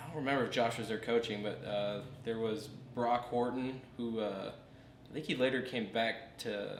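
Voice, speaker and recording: Noticeable background noise and audible room echo surround a man whose intonation stays fairly even. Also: medium pitch for a man, moderate pace. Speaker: former high school wrestler. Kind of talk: casual interview.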